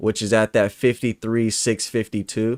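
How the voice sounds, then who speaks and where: Here a man speaks on a very clean recording with a silent background. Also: dry, close sound with no echo. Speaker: trading educator. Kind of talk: live market analysis stream. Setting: live stream. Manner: fast.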